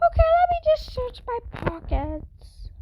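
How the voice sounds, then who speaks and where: A squeaky, extremely high-pitched put-on character voice at a fairly slow pace. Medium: machinima.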